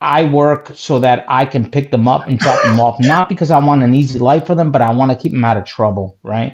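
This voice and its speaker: At a fairly quick pace, a man speaks in an animated tone at medium pitch, with ordinary pitch variation and very even loudness. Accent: New Jersey. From New Jersey. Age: 40s. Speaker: caller. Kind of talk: casual chat.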